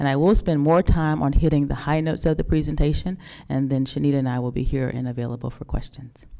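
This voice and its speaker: Speaking very fast in an American accent, a woman has a very deep, low pitch. Her tone is dark and mellow, with fairly even intonation. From North Carolina. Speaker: school district administrator. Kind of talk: presentation to a public board meeting.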